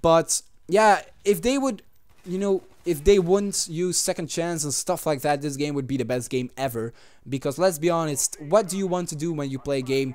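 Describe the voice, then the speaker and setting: A man's fairly high voice with a non-native accent, lively intonation and a moderate pace, on a very clean recording with a silent background. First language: not English. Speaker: gaming YouTuber. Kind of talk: gameplay commentary. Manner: halting.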